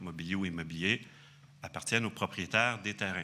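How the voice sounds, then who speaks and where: The man's voice is very deep and low, with a bright, sharp tone. He talks at a fairly quick pace with ordinary pitch variation. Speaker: archaeologist. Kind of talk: conference talk. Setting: conference hall with audience. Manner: hesitant, many fillers.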